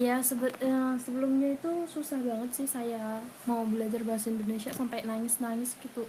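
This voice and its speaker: Speaking at a fairly quick pace with hardly any pauses, a woman uses a high pitch and monotone, flat intonation. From Thailand. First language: Thai (speaking Indonesian). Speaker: university student and language tutor. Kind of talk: casual interview. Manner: hesitant, many fillers.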